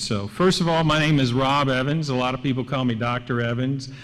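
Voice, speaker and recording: The speaker has an American accent and a moderate pace, with audible room echo and noticeable background noise. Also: man. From Kentucky and Tennessee. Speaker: professor. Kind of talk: award acceptance speech. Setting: stage with audience.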